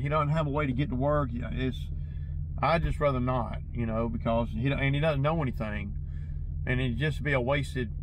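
Fairly quick speech from a man, dry with no echo, over noticeable background noise. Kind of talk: casual vlog chat. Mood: mildly frustrated. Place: car.

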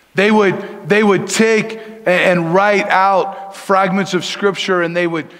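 In an American accent, the speaker goes at a fairly slow pace against a quiet background. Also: man. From Denver, Colorado. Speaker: pastor. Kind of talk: sermon. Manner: casual, conversational. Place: church.

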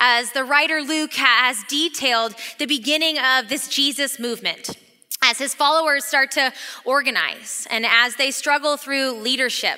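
In a raised, projected voice, a woman speaks at a moderate pace against a quiet background. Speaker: associate pastor. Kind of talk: sermon. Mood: warm, excited, laughing. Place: hall. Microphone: headset.

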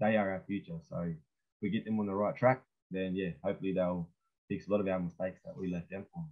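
With a very deep, low pitch, a man talks at a very fast pace and ordinary pitch variation. The background is quiet. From New South Wales, Australia. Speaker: speaker. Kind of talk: welcome to country and panel discussion. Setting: video call. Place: home room. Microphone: webcam.

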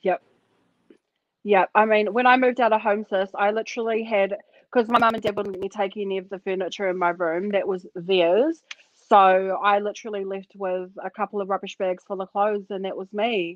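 A woman talks at a fairly quick pace with fairly even intonation. The sound is dry with no echo, over a quiet background. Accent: New Zealand. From New Zealand. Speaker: podcast co-host. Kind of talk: casual chat. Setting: video call. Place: home room. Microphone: video call.

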